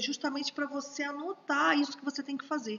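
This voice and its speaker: This woman's voice sits high in pitch. She moves at a fairly quick pace. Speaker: teacher at a prophetic school. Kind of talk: live online course. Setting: livestream.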